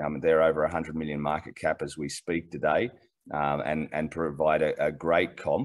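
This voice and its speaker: A man with an Australian accent, very deep and low in pitch, with fairly even intonation. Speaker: mining company executive. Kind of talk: interview. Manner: halting, many repeated words.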